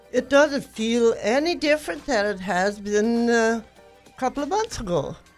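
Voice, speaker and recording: Music plays in the background as a woman talks. Her pitch is fairly high and her intonation lively. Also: moderate pace. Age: 80s+. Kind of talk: interview answer.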